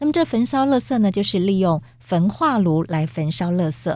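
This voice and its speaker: A woman's dark, mellow tone with very wide pitch swings at a moderate pace, on a very clean recording with a silent background. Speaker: radio host. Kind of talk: radio interview. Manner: formal.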